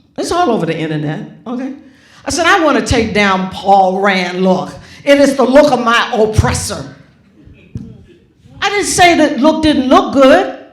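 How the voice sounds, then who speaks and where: A woman's pitch swings very widely as she speaks at a fairly slow pace amid audible room echo. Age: 70s. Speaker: graphic designer and author. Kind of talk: onstage conversation. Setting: auditorium with audience. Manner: animated.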